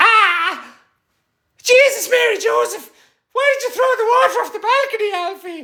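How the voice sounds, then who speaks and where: A put-on character voice in an Irish accent, extremely high in pitch, at a moderate pace with long, frequent pauses. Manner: exasperated, scolding.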